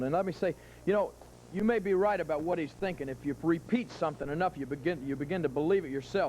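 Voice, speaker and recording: Talking at a very fast pace, a man has a dark, mellow tone. He has an American accent and ordinary pitch variation. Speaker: professional wrestler. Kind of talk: wrestling promo. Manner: angry, taunting.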